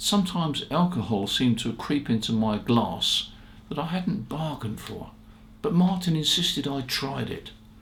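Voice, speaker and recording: Against audible room echo, a man speaks at a fairly high pitch with very wide pitch swings. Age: 80s+. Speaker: ham radio shop founder and video host. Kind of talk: casual storytelling monologue. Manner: relaxed, conversational with fillers.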